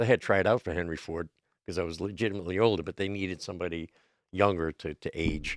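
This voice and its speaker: A man's very deep, low voice at a very fast pace, on a very clean recording with a silent background. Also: fairly even intonation, dry, close sound with no echo. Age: 60s. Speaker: actor and writer. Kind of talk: casual interview. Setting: studio.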